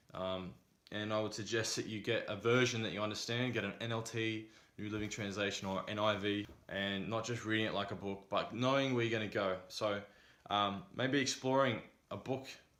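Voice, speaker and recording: Through audible room echo, a man speaks at a fairly quick pace in a fairly low pitch with fairly even intonation. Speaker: vlogger. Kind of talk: casual advice vlog. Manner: monotone; hesitant with many fillers.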